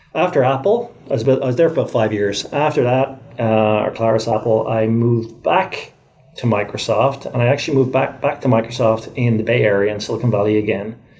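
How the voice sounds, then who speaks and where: Speaking at a very fast pace with very even loudness, a man with an Irish accent keeps a medium pitch and ordinary pitch variation. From Ireland. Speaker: tech executive. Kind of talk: interview.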